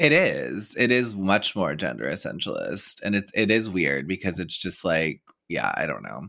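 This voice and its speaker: Speaking at a moderate pace with an American accent, a man swings his pitch very widely and lets vocal fry creep in. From Texas. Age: 30s. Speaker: podcast host. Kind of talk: casual chat.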